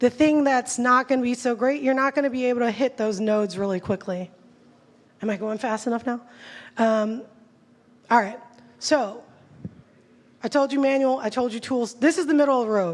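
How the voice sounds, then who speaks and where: A woman speaks in an animated tone at a fairly high pitch and a fairly quick pace. She leaves long, frequent pauses. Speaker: conference speaker on technical SEO. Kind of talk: conference talk. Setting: stage with audience. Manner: fast.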